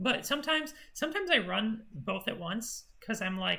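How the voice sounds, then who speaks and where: An animated tone comes through at a fairly quick pace over noticeable background noise. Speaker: cybersecurity team coach. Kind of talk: technical training session. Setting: group meeting, recorded. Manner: loud.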